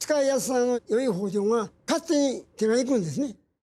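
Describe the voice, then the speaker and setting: Extremely high-pitched for a man, this voice has a dark, mellow tone and lively intonation at a moderate pace. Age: 80s+. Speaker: blacksmith knife maker. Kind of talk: interview answer.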